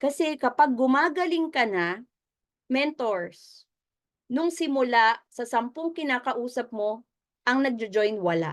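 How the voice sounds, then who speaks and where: A woman speaks with a high pitch and lively intonation. Her pace is very slow, and the background is quiet. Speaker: business mentor. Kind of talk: motivational training talk. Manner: conversational, audience-engaging.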